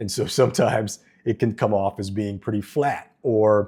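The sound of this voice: A man speaks at a moderate pace in a fairly low, dark and mellow voice with a slightly husky edge and fairly even intonation, on a very clean recording with a silent background.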